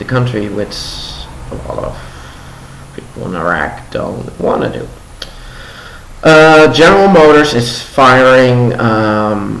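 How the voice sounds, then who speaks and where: With noticeable background noise behind him, a man of medium pitch talks at a very slow pace with long, frequent pauses, lively intonation and big swings in loudness. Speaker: news commentator. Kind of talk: casual news commentary to camera. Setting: home living room.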